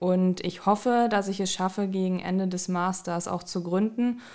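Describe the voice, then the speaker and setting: A woman with a normal speaking voice talks at a moderate pace and medium pitch, with fairly even intonation. The recording is very clean, with a silent background. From Düsseldorf, Germany. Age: 20s. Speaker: master's student and fitness coach. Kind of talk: casual interview chat.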